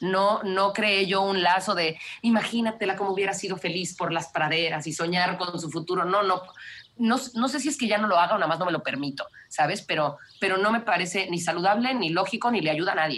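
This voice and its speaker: Her pace is fairly quick. The woman speaks at a medium pitch with ordinary pitch variation. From Mexico (Mexico City, raised in Cancún). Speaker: wildlife conservationist. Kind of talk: interview conversation.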